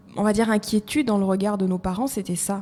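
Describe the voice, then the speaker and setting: A woman at medium pitch and moderate pace. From Côte d'Ivoire. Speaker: HR and recruitment professional. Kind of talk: podcast interview.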